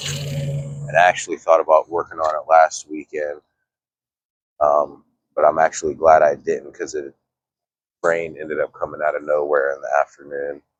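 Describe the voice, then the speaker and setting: A man with a relaxed tone talks at a moderate pace, leaving long, frequent pauses. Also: dry, close sound with no echo. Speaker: fishing vlogger and DIY boat builder. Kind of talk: casual vlog narration. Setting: outdoors by a marina at dawn. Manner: relaxed, with fillers.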